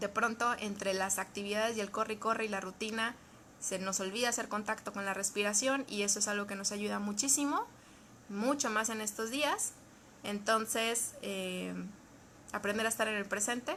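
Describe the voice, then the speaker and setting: Her intonation stays fairly even. The woman speaks at a fairly high pitch. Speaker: psychologist or therapist. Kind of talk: live stream talk. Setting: Facebook live video. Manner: fast.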